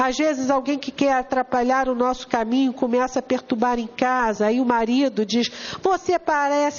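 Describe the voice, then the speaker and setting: A woman with a Brazilian accent speaks at a moderate pace and a high pitch, with ordinary pitch variation. Noticeable background noise runs behind her. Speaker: spiritist lecturer. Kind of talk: lecture. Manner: animated.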